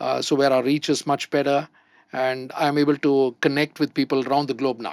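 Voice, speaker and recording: A man's fairly high voice at a fairly quick pace, monotone and flat, in a very clean recording with a silent background. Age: 60s. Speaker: entrepreneur. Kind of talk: panel discussion. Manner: hesitant, many fillers.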